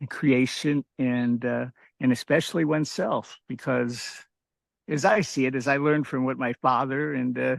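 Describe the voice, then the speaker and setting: In a dry, close recording with no echo and a quiet background, a man talks at a moderate pace with a medium pitch and fairly even intonation. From US Midwest, Dayton, Ohio. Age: 60s. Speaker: outdoor writer and photojournalist. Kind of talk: interview. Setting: outdoors. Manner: halting, many fillers.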